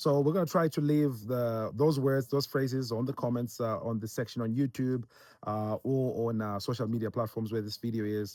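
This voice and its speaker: This man's voice has a dark, mellow tone. The recording is very clean, with a silent background. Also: medium pitch for a man, ordinary pitch variation, moderate pace. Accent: Zimbabwean. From Zimbabwe. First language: Ndebele. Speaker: missionary. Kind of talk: casual instructional chat. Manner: halting, many fillers.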